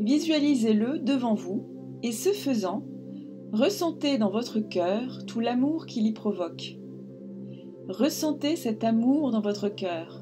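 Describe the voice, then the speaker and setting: A woman's calm tone at a very slow pace, with long, frequent pauses and music in the background. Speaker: meditation guide. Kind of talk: guided meditation. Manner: calm, soft-spoken, slow.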